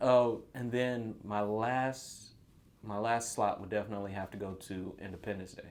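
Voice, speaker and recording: Here is a plain, everyday voice: a man with an American accent speaking at a moderate pace and fairly low pitch. His intonation stays fairly even, while his loudness swings widely. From North Carolina. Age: 30s. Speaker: small business owner. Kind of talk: casual chat.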